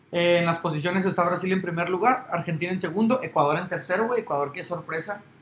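Over noticeable background noise, a man with a high pitch and ordinary pitch variation talks at a very fast pace with hardly any pauses. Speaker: sports podcast host. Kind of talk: casual chat.

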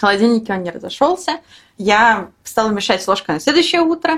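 A woman speaks at a fairly quick pace with a fairly high pitch. Her voice swings very widely in pitch. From Belarus (Minsk). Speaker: software developer. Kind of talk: casual interview.

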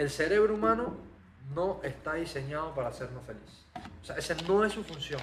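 Over noticeable background noise and audible room echo, a man talks at a fairly high pitch with ordinary pitch variation. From Panama. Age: 20s. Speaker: magician and content creator. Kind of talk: podcast interview.

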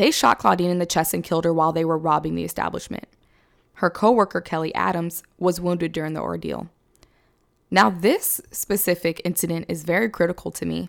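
On a very clean recording with a silent background, a woman with an American accent speaks fairly quickly at a fairly low pitch, with fairly even intonation and vocal fry. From Sacramento, California. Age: 20s. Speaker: true crime podcast host. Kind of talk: casual chat with scripted case narration.

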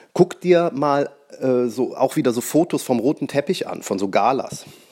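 Vocal fry runs through a man's fairly high voice. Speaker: magician and podcast host. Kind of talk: solo podcast monologue. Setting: at home on the couch.

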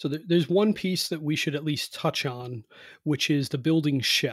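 A man with an American accent and a fairly high, somewhat breathy voice speaks at a moderate pace in a very clean recording with a silent background. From Cleveland, Ohio, US Midwest. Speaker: home energy performance contractor and author. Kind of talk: interview. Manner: hesitant, many fillers and repeats.

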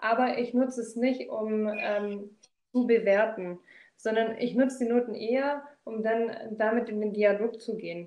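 An ordinary speaking voice carries fairly even intonation. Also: woman. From Swabia, southern Germany. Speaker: corporate trainer and recruiter. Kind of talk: casual interview.

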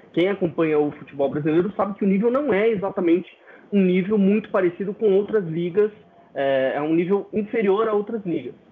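At a fairly quick pace, a man speaks at a high pitch with ordinary pitch variation. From Brazil. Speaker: football tactics analyst and columnist. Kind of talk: podcast interview.

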